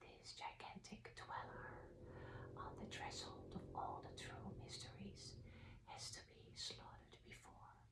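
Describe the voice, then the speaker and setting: A woman whispers. She goes at a very slow pace. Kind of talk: ASMR reading of esoteric literature. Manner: soft, whispered.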